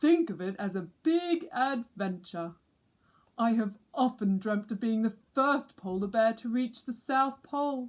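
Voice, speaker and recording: A woman adopts a put-on character voice, fairly high in pitch and fairly slow in pace. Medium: read story.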